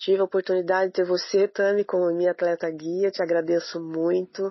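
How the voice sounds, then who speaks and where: An unremarkable speaking voice from a woman, medium in pitch, at a moderate pace with fairly even intonation. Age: 40s. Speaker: visually impaired runner. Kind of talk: testimony. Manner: emotional.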